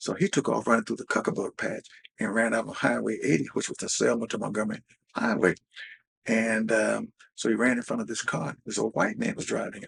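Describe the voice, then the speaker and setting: A man talks at a fairly quick pace with an Alabama accent. The sound is dry and close, with no echo. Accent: Southern US (Alabama). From US South. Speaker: interviewee, civil rights era witness. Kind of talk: interview storytelling.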